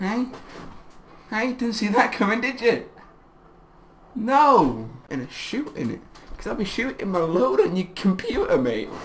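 The speech moves at a moderate pace. Noticeable background noise runs beneath it. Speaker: YouTuber. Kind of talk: casual chat. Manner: halting.

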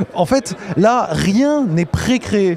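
A man speaks over light background noise. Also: dry sound with no echo. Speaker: games journalist. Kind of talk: on-location report to camera. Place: hall. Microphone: handheld.

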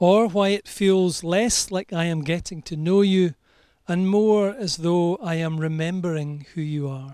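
A man with a Scottish accent talks at a fairly slow pace in a high voice with ordinary pitch variation. The sound is dry with no echo, over a quiet background. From Scotland. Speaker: wedding celebrant. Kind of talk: poetry reading at wedding ceremony. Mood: warm, tender, measured. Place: garden. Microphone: handheld.

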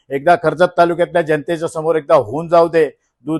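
The sound is dry and close with no echo, and the background is quiet. A man speaks with a fairly high pitch. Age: 60s. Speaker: local politician. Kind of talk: press conference statement. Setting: press conference. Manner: animated.

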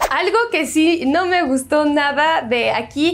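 A woman's animated tone with lively intonation. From France. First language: French (speaking Spanish). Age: 20s. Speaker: YouTuber; vlogger. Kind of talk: casual vlog monologue. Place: home room. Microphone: lapel.

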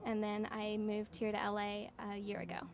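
A woman with an American accent talks at a moderate pace in a flat, monotone delivery. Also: medium pitch for a woman.

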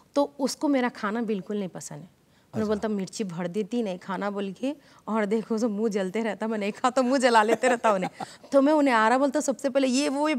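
A woman's intonation is lively as she speaks at a moderate pace. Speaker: comedy actress. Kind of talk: interview. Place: studio. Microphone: lapel.

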